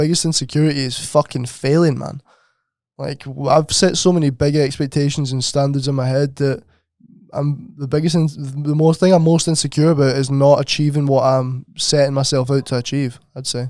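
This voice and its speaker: A man with a Scottish accent speaks at a fairly high pitch. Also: moderate pace. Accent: Scottish, comments on his. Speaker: podcast co-host. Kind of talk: casual chat. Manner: animated.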